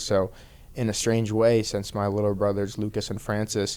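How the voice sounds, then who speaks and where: Speaking with an American accent at a moderate pace, a man keeps a fairly low pitch, a dark, mellow tone and a monotone, flat intonation. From Boston area, Massachusetts (Peabody). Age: 30s. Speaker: professional MMA fighter. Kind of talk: podcast interview. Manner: casual, lots of fillers.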